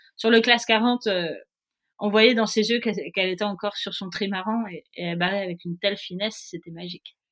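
With a southern French accent, a woman talks at a moderate pace and medium pitch, her intonation fairly even but her loudness swinging widely, in a very clean, silent recording with a dry, close sound and no echo. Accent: soft southern French. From southern France, Nice. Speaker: professional offshore sailor. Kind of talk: interview. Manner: hesitant, many fillers.

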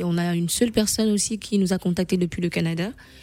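At a fairly quick pace, a woman speaks in a fairly low pitch with a dark, mellow tone and fairly even intonation. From Gabon, Libreville. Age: 40s. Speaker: patient advocacy founder. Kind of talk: radio interview testimony.

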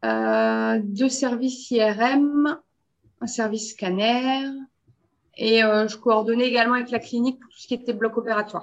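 An ordinary speaking voice from a woman, fairly high in pitch and fairly slow, with fairly even intonation, big swings in loudness and a quiet background. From Belgium. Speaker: quality and radiation protection consultant. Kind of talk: interview.

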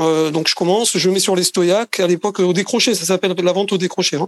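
With ordinary pitch variation, a man's voice comes through dry and close, with no echo. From France, Marseille. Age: 50s. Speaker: sales trainer. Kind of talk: interview. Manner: hesitant, many fillers.

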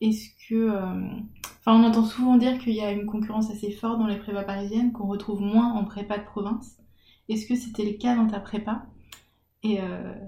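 A woman's fairly high, somewhat breathy voice, dark and mellow in tone, monotone and flat, fairly quick in pace yet broken by long, frequent pauses. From French provinces. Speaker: podcast host. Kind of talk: casual interview. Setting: at home.

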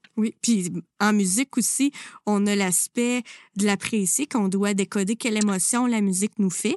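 A woman at a medium pitch with fairly even intonation and a Quebec accent, speaking at a fairly slow pace in a dry, close sound with no echo and a quiet background. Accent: Québécois French. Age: 30s. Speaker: music teacher and podcast host. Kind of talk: interview.

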